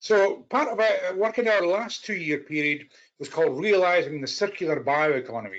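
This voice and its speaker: The speaker uses lively intonation in a Scottish accent. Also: man, high pitch for a man, moderate pace. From Scotland. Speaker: policy analyst. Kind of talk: conference presentation. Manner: halting.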